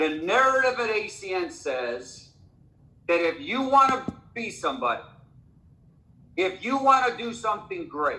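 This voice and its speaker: A man's high, raised, projected voice with very wide pitch swings, a fairly slow pace and long, frequent pauses, amid audible room echo. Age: 60s. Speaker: network marketing leader. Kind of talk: motivational talk on a conference call. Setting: conference call. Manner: halting, many fillers.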